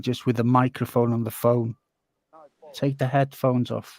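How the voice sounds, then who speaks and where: A man with a North Welsh accent, in a dry, close sound with no echo. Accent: North Walian. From North Wales. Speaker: live stream co-host. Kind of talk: casual chat.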